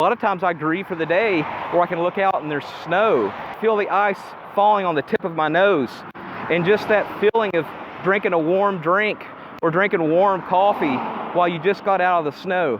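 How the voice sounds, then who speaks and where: A man with an American accent speaks at a high pitch and a moderate pace. Noticeable background noise runs behind him. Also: ordinary pitch variation. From Appalachia, US. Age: 40s. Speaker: self-improvement vlogger. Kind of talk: casual vlog monologue. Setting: outdoors, walking in the sun.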